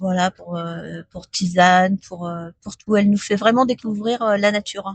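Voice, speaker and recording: Somewhat breathy and at a fairly slow pace, a woman speaks with fairly even intonation in a dry, close sound with no echo. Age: 60s. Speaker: postal customer adviser. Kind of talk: radio interview. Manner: hesitant, many fillers.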